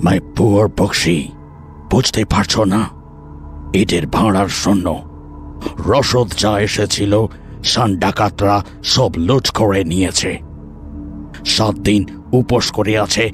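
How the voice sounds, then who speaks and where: Over clear background music, a man puts on a character voice, fairly low-pitched and very even in loudness, speaking at a very slow pace. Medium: read story.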